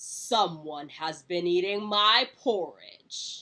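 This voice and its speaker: A woman puts on a growling character voice at a medium pitch. She speaks very slowly. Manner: indignant, booming.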